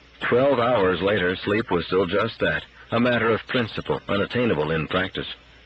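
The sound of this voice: An unforced reading voice, pitch shifting in ordinary measure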